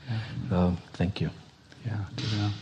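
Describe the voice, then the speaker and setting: A man's fairly low, somewhat breathy voice at a fairly slow pace with ordinary pitch variation. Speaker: co-teacher. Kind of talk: workshop teaching.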